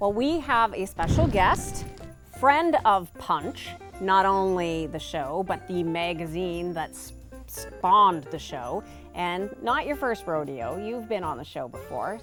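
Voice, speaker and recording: With music in the background, a woman speaks very slowly in a fairly low pitch. Her pitch swings very widely and her loudness varies a lot. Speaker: TV show host. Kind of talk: show host introduction.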